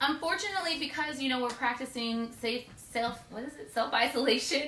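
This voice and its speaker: A woman in a raised, projected voice talks at a fairly quick pace with ordinary pitch variation and big swings in loudness, amid light background noise and audible room echo. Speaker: home cooking show host. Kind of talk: cooking show intro, casual. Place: kitchen. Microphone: camera far.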